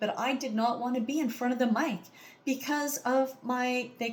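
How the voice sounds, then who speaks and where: A loud, high-pitched woman's voice over noticeable background noise. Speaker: audition speaker sharing illness story. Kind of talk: audition monologue. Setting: recorded to camera. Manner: animated.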